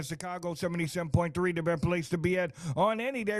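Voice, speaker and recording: Against noticeable background noise, a man with a high pitch and ordinary pitch variation talks very fast. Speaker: radio DJ. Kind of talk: radio interview host, casual.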